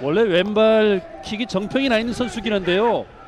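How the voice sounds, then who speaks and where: Noticeable background noise behind a man's high-pitched voice, calm in tone, lively in intonation, at a fairly slow pace. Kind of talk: live commentary. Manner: builds up rising excitement on chances, then settles into calm analysis.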